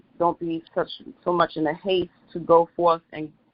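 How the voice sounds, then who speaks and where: The woman's voice sits very deep and low, delivered in a monotone, flat way. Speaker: lay preacher. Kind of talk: sermon. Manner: halting, many fillers.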